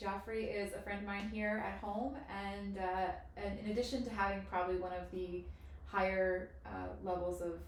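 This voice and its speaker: The speech moves at a moderate pace with ordinary pitch variation. There is audible room echo and noticeable background noise. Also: woman. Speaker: podcast host. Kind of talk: podcast interview introduction.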